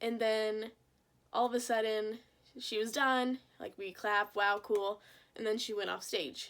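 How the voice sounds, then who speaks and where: In a very clean recording with a silent background, a woman speaks at a fairly slow pace in a fairly high pitch, with fairly even intonation and long, frequent pauses. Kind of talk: casual talk to camera.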